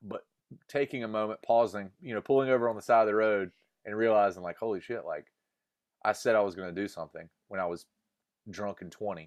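Over a quiet background, a man with a Southern US accent talks at a very fast pace, broken by long, frequent pauses. His pitch is fairly low with ordinary variation, and his loudness swings widely. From US South, North Carolina. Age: 30s. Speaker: musician. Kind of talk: interview.

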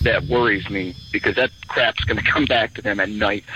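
A man's speech comes at a moderate pace, with noticeable background noise behind it. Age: 40s. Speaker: caller. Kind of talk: storytelling. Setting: phone call.

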